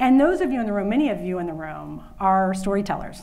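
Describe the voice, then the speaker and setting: The voice has a dark, mellow tone and lively intonation, and it moves at a very fast pace. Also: woman. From Louisiana, USA. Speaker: conference keynote speaker, women's workplace initiative leader. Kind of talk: conference keynote speech. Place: hall.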